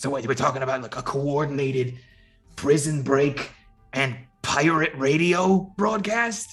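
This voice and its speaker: A man puts on a raspy character voice with fairly high pitch, moving at a moderate pace. Faint music plays in the background. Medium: actual play. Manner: blunt, brash.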